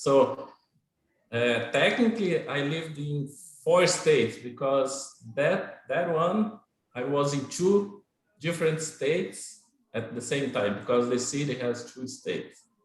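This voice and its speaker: In a Portuguese accent, a man with a fairly high pitch speaks at a fairly slow pace with lively intonation, and room echo is audible. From Brazil, Goiás. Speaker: Brazilian immigrant interviewee. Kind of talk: casual interview in English class livestream. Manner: hesitant with fillers and repetitions.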